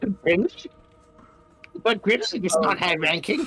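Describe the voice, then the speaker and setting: Over faint music in the background, a man does a put-on character voice with high pitch at a fairly slow pace. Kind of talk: tabletop roleplaying game session, in-character talk.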